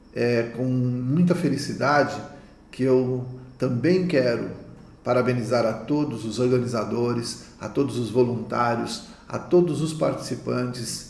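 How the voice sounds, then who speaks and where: Speaking at a fairly slow pace, a man uses medium pitch and ordinary pitch variation, with audible room echo. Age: 60s. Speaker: naturopath. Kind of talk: conference talk.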